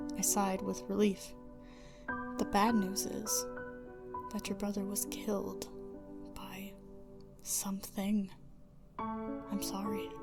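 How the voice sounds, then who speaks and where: Over music in the background, a soft-spoken woman talks at a very slow pace. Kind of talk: creepypasta narration, soft-spoken ASMR reading. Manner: soft-spoken, quiet.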